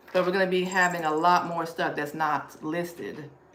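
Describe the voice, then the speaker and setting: A Southern US accent, with audible room echo. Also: woman. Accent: Southern US (Georgia). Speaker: thrift reseller livestreamer. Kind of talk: live stream haul chat. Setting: live stream. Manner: fast.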